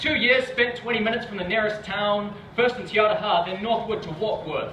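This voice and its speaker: A man with a New Zealand accent speaks at a fairly quick pace in a high pitch with fairly even intonation, with audible room echo and noticeable background noise. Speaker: spoken word poet. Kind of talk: performance poetry. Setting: stage with audience.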